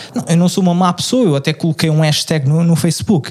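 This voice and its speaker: This man has a high-pitched voice. Noticeable background noise runs behind him. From Lisbon, Portugal. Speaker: podcast co-host. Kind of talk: casual chat.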